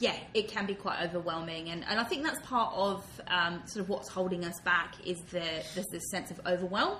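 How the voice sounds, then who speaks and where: A woman's medium-pitched voice at a moderate pace, ordinary pitch variation, hardly any pauses, audible room echo and noticeable background noise. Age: 30s. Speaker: diversity and inclusion consultant. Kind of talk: interview. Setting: office.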